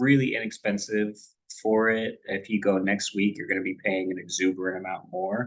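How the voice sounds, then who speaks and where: At a moderate pace, a man with a fairly low pitch and fairly even intonation speaks in an ordinary speaking voice. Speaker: stock trading educator. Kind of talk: tutorial. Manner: casual, conversational.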